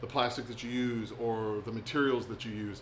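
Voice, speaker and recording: A man with a Southern US accent speaks at a moderate pace and medium pitch, with audible room echo. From US South (Alabama, Texas, Florida; Navy family). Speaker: bait maker. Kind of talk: live stream chat. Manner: casual, filler-heavy.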